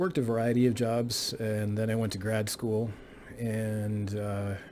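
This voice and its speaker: Over audible room echo, a man with a Texan accent sounds somewhat breathy. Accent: Texan American English. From South Texas, near the Mexican border. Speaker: college history professor. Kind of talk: course introduction lecture. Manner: hesitant, many filler words.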